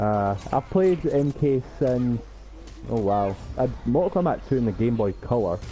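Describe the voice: A man with a Scottish accent and a medium pitch speaks at a moderate pace, his dark, mellow tone carried by lively intonation.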